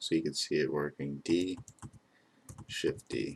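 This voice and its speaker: A man talks at a moderate pace. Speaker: 3D modeling instructor. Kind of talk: tutorial. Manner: monotone.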